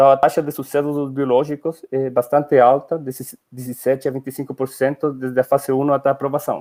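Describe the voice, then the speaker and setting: A man with a Spanish accent has a dark, mellow tone and a fairly high pitch. He speaks at a fairly quick pace, and the sound is dry and close with no echo. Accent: Spanish-accented Portuguese (portunhol). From Chile. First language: Spanish (speaking Portuguese). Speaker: company director, scientist. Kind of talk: webinar presentation. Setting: online webinar. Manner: hesitant, with fillers.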